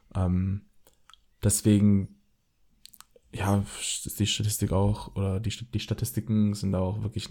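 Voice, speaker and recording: A man speaks at a very slow pace with a fairly low pitch, a dark, mellow tone, a somewhat breathy quality, monotone, flat intonation, and long, frequent pauses. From Swabia, Baden-Württemberg. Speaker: podcast host. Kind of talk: casual chat.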